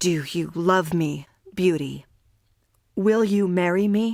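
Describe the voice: Using a gruff, put-on character voice, a woman speaks at a medium pitch and a fairly slow pace.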